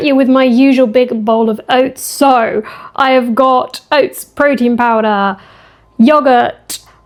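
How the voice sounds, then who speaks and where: This woman talks at a very slow pace. Her pitch variation is ordinary. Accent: British. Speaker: fitness coach and vlogger. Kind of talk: casual vlog. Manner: chatty, filler-heavy.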